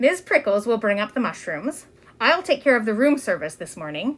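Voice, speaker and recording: A woman puts on a character voice pitched fairly high, with very wide pitch swings. She moves along at a fairly quick pace. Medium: read story. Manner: fussy, bustling.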